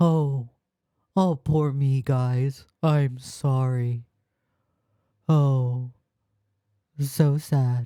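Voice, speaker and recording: In a put-on character voice that sounds whiny and sits at a low-to-middle pitch, the speaker goes very slowly with long, frequent pauses. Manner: mocking and whiny.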